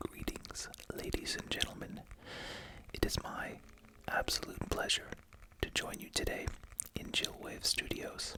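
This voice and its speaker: Whispered at a fairly slow pace with long, frequent pauses, the voice has a soothing tone against noticeable background noise. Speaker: ASMR roleplay host playing a veterinary clinician and researcher. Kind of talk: ASMR roleplay lecture, educational, as a veterinary researcher. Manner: whispered, soothing.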